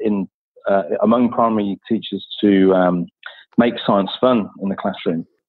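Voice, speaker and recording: The speaker has a British accent and fairly even intonation. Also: man. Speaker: science education consultant. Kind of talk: casual interview. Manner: halting.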